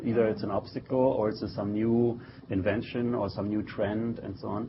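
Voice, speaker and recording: Against noticeable background noise, a man speaks at fairly low pitch and a moderate pace. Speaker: tech company co-founder and marketing executive. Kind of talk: interview. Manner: hesitant, many fillers.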